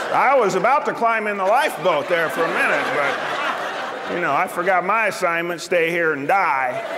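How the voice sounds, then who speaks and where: A man speaks at a moderate pace in a high pitch, with lively intonation and hardly any pauses. Noticeable background noise runs underneath. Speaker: comedian. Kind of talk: live stand-up comedy performance.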